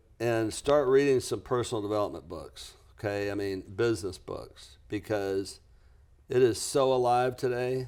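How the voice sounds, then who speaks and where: On a very clean recording with a silent background, a man in a normal speaking voice talks with an American accent at a medium pitch, with ordinary pitch variation and a moderate pace. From US South, lower Alabama. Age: 60s. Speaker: business coach and author. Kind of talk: podcast interview.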